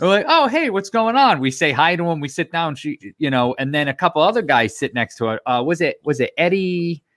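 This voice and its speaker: A high-pitched man speaks at a fairly quick pace with very wide pitch swings. The sound is dry with no echo, and the background is quiet. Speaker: podcast co-host. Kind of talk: casual chat. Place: home room.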